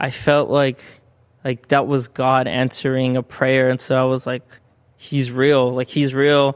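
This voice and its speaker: At a fairly slow pace, a man speaks with a Spanish accent. His pitch sits in the medium range. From Southern California, US. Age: 20s. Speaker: youth ministry co-director. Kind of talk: casual interview, storytelling. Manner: casual, filler-heavy, uses 'like'.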